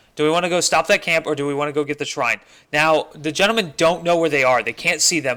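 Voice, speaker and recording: This man has a bright, sharp tone and a fairly high pitch with ordinary pitch variation. He talks at a fairly quick pace with an American accent. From northern Indiana. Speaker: esports caster. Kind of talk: live commentary. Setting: livestream with chat.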